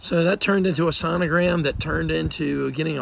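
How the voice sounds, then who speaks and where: Noticeable background noise behind lively intonation. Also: man. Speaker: politician. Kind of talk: personal video update. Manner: hesitant, many fillers.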